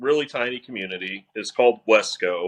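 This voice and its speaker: A man talks with an American accent. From Missouri (Crawford County). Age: 40s. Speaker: former police officer and railroad inspector. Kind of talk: casual interview chat.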